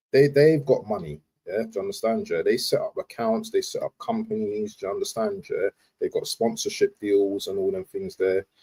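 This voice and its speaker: A man speaks with a London accent. His pace is fairly quick. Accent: London multicultural English. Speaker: football fan streamer. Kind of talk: live stream commentary. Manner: stuttering today; casual, repetitive slang.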